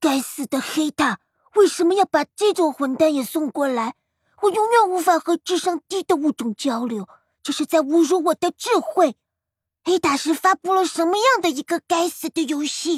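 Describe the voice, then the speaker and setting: A soft-spoken, put-on character voice is heard. Its pitch is extremely high. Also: moderate pace. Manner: cursing, indignant.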